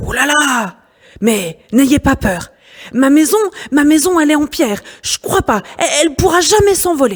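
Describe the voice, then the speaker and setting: A put-on character voice with high pitch, a moderate pace and long, frequent pauses. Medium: read story.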